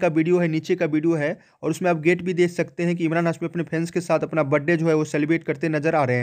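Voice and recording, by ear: Fast and fairly high, a man's slightly mellow voice shows little pitch movement.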